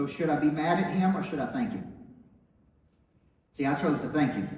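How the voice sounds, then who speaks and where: Amid audible room echo, a man with an American accent talks fairly quickly at a fairly high pitch. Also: lively intonation. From Tennessee small town. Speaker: motivational speaker and business coach. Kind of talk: motivational speech. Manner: animated.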